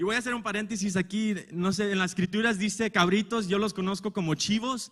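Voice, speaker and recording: Recorded very cleanly against a silent background, a man with a high pitch speaks fairly quickly in a fairly even intonation. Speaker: preacher. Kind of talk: sermon. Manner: halting.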